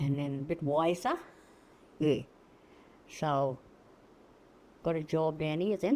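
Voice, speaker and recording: At a fairly slow pace with long, frequent pauses, a woman with a very deep, low pitch and a dark, mellow tone speaks with ordinary pitch variation. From Cherbourg, Queensland, Australia. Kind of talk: interview answer.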